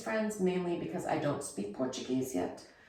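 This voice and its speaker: A woman's voice with lively intonation against noticeable background noise. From Germany. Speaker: expat interviewee. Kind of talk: interview.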